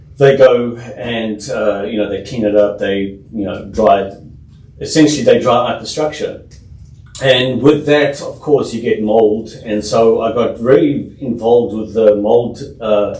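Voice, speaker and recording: In a room with audible echo, a man speaks fairly slowly at a medium pitch, his intonation fairly even. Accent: South African. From South Africa. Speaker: home inspector, business owner. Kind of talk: podcast interview. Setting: studio.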